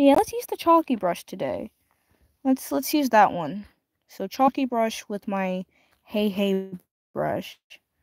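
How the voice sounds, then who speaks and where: A quiet woman speaks at a fairly slow pace with very wide pitch swings and long, frequent pauses. The sound is dry and close, with no echo. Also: fairly high pitch for a woman. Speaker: streamer. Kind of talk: casual livestream chat while drawing. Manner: quiet, keeping voice down.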